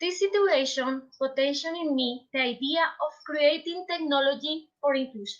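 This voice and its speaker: Delivered at a moderate pace in a Colombian accent, the speech has hardly any pauses and ordinary pitch variation. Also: woman, high pitch for a woman. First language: Spanish. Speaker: teacher and researcher. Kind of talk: conference presentation. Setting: video call. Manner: halting.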